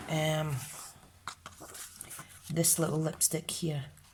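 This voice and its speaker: A woman speaks at a fairly slow pace in a very deep, low pitch. Background noise is noticeable. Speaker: craft video presenter.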